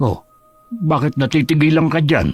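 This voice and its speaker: A man uses a put-on character voice at a fairly high pitch and a moderate pace, with faint music in the background. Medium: audio drama. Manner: fretful, exclamatory.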